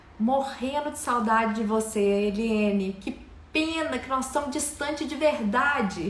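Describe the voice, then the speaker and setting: In a Minas Gerais accent, a warm-toned voice speaks at a fairly slow pace amid noticeable background noise and audible room echo. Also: woman, high pitch for a woman, ordinary pitch variation. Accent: mineiro. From Minas Gerais, Brazil. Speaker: live stream host. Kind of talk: live stream chat, welcoming viewers. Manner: warm, lively.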